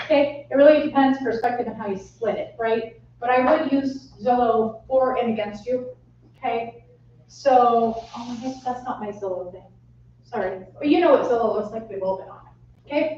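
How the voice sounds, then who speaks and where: Audible room echo surrounds a woman with a high voice who talks at a moderate pace, her loudness swinging widely. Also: ordinary pitch variation. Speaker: real estate trainer. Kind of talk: training workshop.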